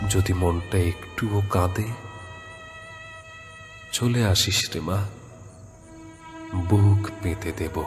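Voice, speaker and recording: With music in the background, a man speaks in a very deep, low pitch with fairly even intonation. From Bangladesh. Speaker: poetry reciter and voice over artist.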